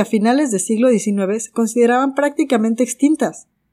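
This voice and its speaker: On a very clean recording with a silent background, a woman with a fairly high voice and a dark, mellow tone speaks at a moderate pace with lively intonation. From Mexico. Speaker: podcast host, gemologist. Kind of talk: scripted narration.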